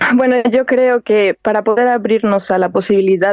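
A woman's voice at a moderate pace with ordinary pitch variation, an unremarkable speaking voice. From Mexico, La Piedad, Michoacán. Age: 20s. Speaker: singing student. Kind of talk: interview. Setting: phone call.

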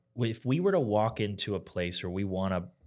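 A man speaks in a normal speaking voice with a fairly low pitch. The recording is very clean, with a silent background. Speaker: podcast co-host, doctor. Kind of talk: casual chat.

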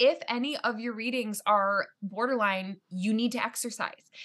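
A woman speaks in a plain, everyday voice at a fairly high pitch with ordinary pitch variation. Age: 30s. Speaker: actor and writer. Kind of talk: casual chat.

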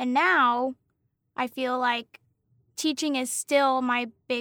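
In an American accent, a woman speaks at a high pitch and a fairly slow pace with fairly even intonation, in a dry, close sound with no echo and a very clean recording with a silent background. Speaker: general education teacher and podcast co-host. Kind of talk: casual chat.

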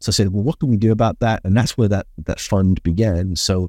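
The recording is very clean, with a silent background. A man with a dark, mellow tone and a British accent speaks at a moderate pace with fairly even intonation. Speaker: business consultant and speaker. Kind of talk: interview.

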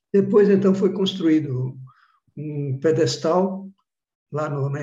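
A man talks in a dark, mellow tone. There is some breathiness, and his pitch moves in an ordinary way. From Bahia, Brazil (sertão). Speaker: professor, meteorite researcher. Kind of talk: interview, storytelling.

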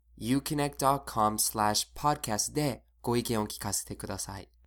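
Heard in a very clean recording with a silent background, a man with an American accent uses a plain, everyday voice at a medium pitch with ordinary pitch variation. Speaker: English teacher, podcast host. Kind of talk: English lesson podcast, bilingual.

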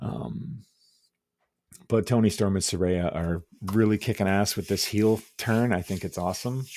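Dark and mellow in tone, a man speaks at a moderate pace with ordinary pitch variation. The recording is very clean, with a silent background. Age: 40s. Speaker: wrestling podcast host. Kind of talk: solo podcast commentary. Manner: casual with frequent fillers.

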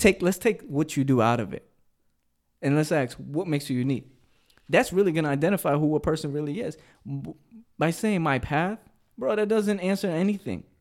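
The pace is fairly quick. Long pauses come often between phrases. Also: man, fairly high pitch for a man. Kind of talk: heated debate. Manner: insistent, talking over the other, stalling, laughing.

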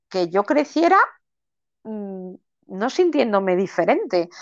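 A woman speaks against a quiet background. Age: 40s. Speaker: coach and mentor for amputees. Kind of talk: interview. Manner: halting.

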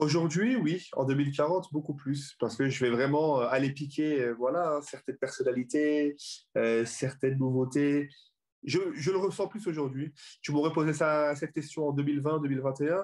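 A man with an unremarkable speaking voice talks at a fairly slow pace and a fairly high pitch. The background is quiet. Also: ordinary pitch variation. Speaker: comedian and comedy club founder. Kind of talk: casual chat.

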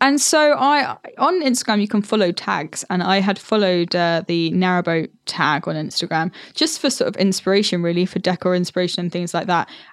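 An ordinary speaking voice moves at a fairly quick pace with lively intonation and hardly any pauses. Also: woman, medium pitch for a woman. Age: 20s. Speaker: podcast host, narrowboat dweller working in TV. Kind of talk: casual interview chat.

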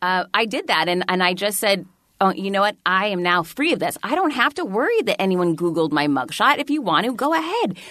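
The woman's voice has a bright, sharp tone at a medium pitch. Her pitch swings very widely. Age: 40s. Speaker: author and keynote speaker. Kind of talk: casual chat.

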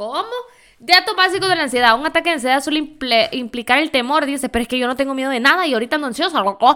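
A woman speaks at a very fast pace in a high pitch, her voice raised and projected, with lively intonation and an animated tone. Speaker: podcast host. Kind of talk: casual monologue.

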